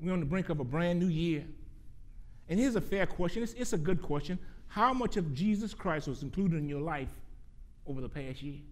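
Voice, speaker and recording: The speech moves at a fairly quick pace. Long pauses break it up often. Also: man. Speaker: preacher. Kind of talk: sermon. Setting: church.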